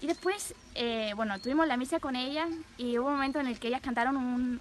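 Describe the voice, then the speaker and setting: A woman with a Spanish accent, a high pitch with ordinary variation, and a very fast pace. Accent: Peninsular Spanish. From Spain. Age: 20s. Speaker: nun. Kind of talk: testimony.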